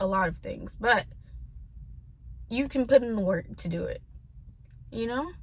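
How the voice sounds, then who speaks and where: A fairly slow-paced woman's voice in an American accent. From US South (Tennessee), earlier California. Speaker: vlogger. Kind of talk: personal vent vlog. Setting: talking to camera. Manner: hesitant, filler-heavy.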